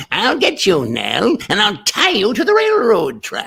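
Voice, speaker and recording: Someone performs a put-on character voice at a fairly high pitch and a fairly slow pace. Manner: menacing, theatrical, villainous.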